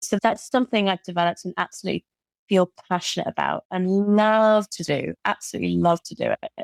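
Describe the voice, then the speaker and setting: In a British accent, a woman talks at a very fast pace in a dry, close sound with no echo and a very clean recording with a silent background. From Britain. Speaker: occupational therapist and burnout coach. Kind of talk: podcast interview.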